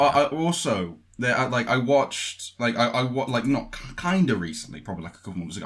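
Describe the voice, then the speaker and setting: The speech runs at a very fast pace with very wide pitch swings and big swings in loudness. Vocal fry is present throughout. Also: man. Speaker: voice actor and producer. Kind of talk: casual podcast interview talk.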